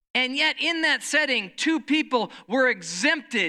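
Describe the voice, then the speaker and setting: Everything is very clean, with a silent background. The talking moves fairly slowly. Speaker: pastor. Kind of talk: sermon. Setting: church.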